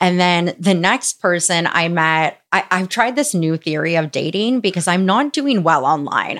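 In a plain, everyday voice, the speaker keeps a moderate pace, lively intonation and very even loudness, with hardly any pauses. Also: woman. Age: 30s. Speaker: content creator. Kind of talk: casual chat.

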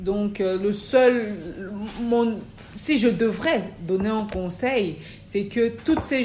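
With audible room echo and noticeable background noise, a woman speaks very slowly. Her medium-pitched voice has ordinary pitch variation. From Cameroon. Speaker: midwife and midwifery trainer. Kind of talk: interview. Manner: hesitant, many fillers.

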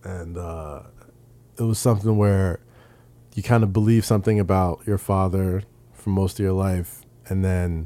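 With a New York accent, a man speaks in a very deep, low pitch with a dark, mellow tone. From New York, Staten Island. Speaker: podcaster and wrestling writer. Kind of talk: casual interview chat. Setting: studio.

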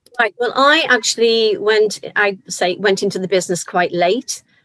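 A woman with a slight Liverpool accent speaks at a moderate pace in a dry, close sound with no echo. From Liverpool, England. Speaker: actor and choir leader. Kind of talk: casual chat. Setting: video call.

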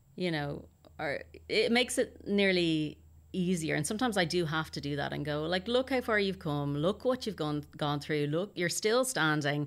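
With an Irish accent, a woman speaks at a fairly low pitch and a moderate pace, her intonation lively, in a very clean recording with a silent background. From Ireland. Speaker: actor. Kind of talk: interview, casual chat.

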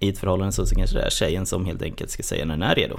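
A man's fairly low voice with very wide pitch swings and audible room echo. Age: 20s. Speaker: podcast guest. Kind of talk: casual chat. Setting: studio.

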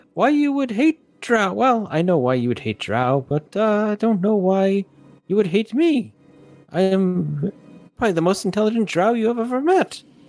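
Against faint music in the background, a man does a put-on character voice at a high pitch, with very wide pitch swings and a moderate pace. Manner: haughty, condescending.

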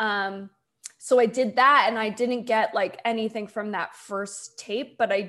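A woman with a plain, everyday voice, an American accent and fairly even intonation. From US, Delaware. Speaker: comedy writer. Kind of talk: casual chat.

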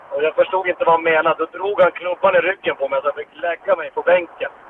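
Very fast and high-pitched, a man speaks with fairly even intonation over noticeable background noise. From Sweden, Norrbotten (Pajala). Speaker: ice hockey coach and former player. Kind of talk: long interview. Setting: in a car.

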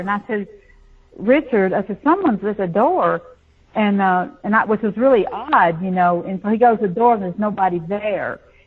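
A somewhat breathy woman with a Southern US accent and ordinary pitch variation. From US South. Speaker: psychic medium. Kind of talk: interview.

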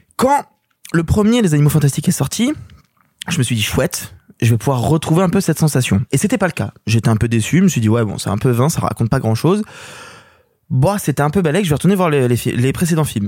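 A man speaks in a fairly high voice with very wide pitch swings. The sound is dry and close, with no echo. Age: 20s. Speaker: film critic. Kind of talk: casual chat. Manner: animated.

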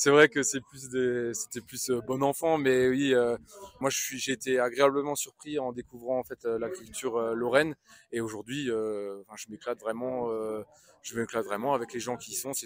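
A man's medium-pitched voice at a moderate pace, with fairly even intonation, big swings in loudness, noticeable background noise, and a dry, close sound with no echo. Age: 30s. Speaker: agricultural machinery sales inspector. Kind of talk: interview. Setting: trade show stand. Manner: halting.

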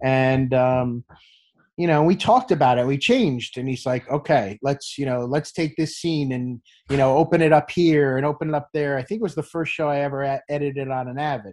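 This man has an ordinary speaking voice with a fairly high pitch. He talks at a fairly quick pace with ordinary pitch variation. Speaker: sports TV producer. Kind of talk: interview.

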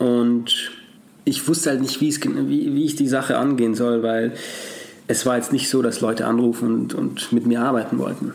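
A man speaks with fairly even intonation and very even loudness. Audible room echo hangs around his voice. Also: medium pitch for a man, moderate pace. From Austria, Salzburg. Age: 20s. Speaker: actor and former dancer. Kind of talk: interview conversation.

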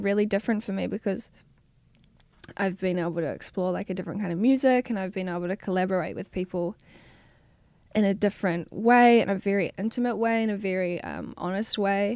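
A woman with a New Zealand accent speaks at a fairly quick pace and a medium pitch, with ordinary pitch variation, in a very clean recording with a silent background and a dry, close sound with no echo. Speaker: musician. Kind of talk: interview. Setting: studio.

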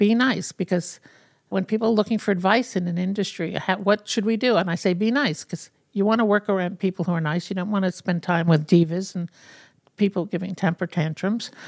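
The woman talks fairly quickly at medium pitch, with ordinary pitch variation. The recording is very clean and silent behind her, dry and close with no echo. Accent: New York. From New York City, Brooklyn. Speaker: fashion industry executive. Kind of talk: interview.

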